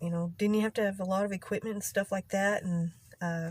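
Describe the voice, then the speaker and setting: At a moderate pace, a woman with a Texas accent speaks in a somewhat breathy voice at medium pitch with fairly even intonation. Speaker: vlogger. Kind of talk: casual vlog monologue. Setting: in a car in a parking lot. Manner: halting, occasional stutter-like vocal tic.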